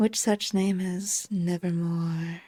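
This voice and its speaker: Putting on a character voice, a woman speaks at a medium pitch. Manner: horrible, grating.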